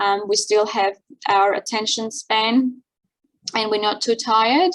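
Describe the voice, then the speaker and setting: In an Armenian accent, a woman speaks at a fairly high pitch and a fairly slow pace, with ordinary pitch variation. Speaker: seminar host and interpreter. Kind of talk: event introduction. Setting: video call. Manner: hesitant, many fillers.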